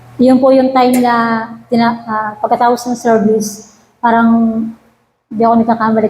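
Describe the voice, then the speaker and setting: A woman's fairly high voice at a moderate pace. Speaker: church worship leader. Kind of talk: testimony. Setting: church prayer meeting. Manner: halting; formal.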